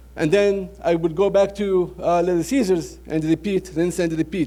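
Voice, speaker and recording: Speaking with a Lebanese accent, a man has a dark, mellow tone, a high pitch and ordinary pitch variation. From Lebanon, Beirut. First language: Arabic. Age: 30s. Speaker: restaurant franchise owner. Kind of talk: business presentation. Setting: trade show audience.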